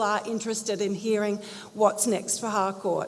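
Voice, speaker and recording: A woman speaks fairly quickly at a fairly high pitch, with an Australian accent. Noticeable background noise runs behind her. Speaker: community group presenter. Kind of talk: community meeting presentation. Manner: loud.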